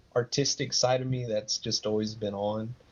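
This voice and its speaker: A man of medium pitch with an American accent. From West Texas (Odessa). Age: 30s. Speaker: digital artist. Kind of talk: interview. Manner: halting.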